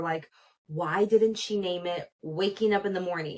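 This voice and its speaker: A woman's medium-pitched, a plain, everyday voice at a moderate pace. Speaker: podcast host. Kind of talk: casual pop culture commentary. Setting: small home recording room.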